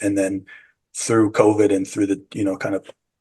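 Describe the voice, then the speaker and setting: A man's fairly low-pitched voice with a dark, mellow tone and an American accent, against a quiet background. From San Francisco, US. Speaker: psychedelic retreat guide and bakery owner. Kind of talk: interview. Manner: halting.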